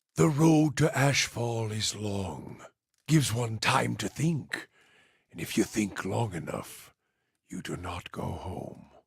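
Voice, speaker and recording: A man's put-on character voice, raspy, at medium pitch and a fairly slow pace. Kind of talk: fantasy game companion monologue. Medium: video game. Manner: grave, measured, brooding.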